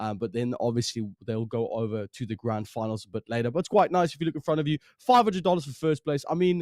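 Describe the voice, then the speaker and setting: The pitch swings very widely at a fairly quick pace. The sound is dry and close, with no echo. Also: man. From South Africa. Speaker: esports caster. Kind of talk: live commentary.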